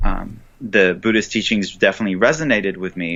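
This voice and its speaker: The speaker is a man with an Israeli accent. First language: Hebrew. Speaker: author and Buddhist teacher. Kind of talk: interview. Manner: hesitant, with fillers and restarts.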